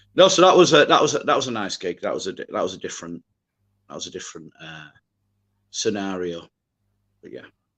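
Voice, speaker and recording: Over a quiet background, a man talks at a very fast pace. There are long, frequent pauses and big swings in loudness. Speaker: singer. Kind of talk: casual chat. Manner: hesitant with many fillers.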